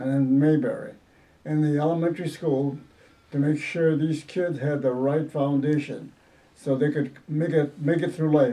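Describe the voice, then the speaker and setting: At a moderate pace, a man speaks in a fairly high pitch with a dark, mellow tone and monotone, flat intonation. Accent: American. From Southwest Detroit, Michigan. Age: 80s+. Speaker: retired school principal and musician. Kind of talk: oral history interview. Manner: halting.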